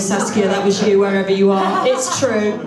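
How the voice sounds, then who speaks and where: Female speech with ordinary pitch variation, set against noticeable background noise and audible room echo. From England, Chesterfield. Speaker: football club chairwoman. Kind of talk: hosting a Q&A at a club event. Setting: club lounge with live audience, on microphone.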